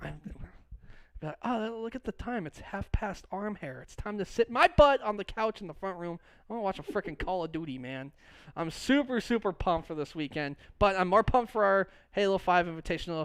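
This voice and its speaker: On a very clean recording with a silent background, a man speaks high in pitch with lively intonation and big swings in loudness. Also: fairly quick pace. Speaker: esports podcast co-host. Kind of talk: casual chat. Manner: fast.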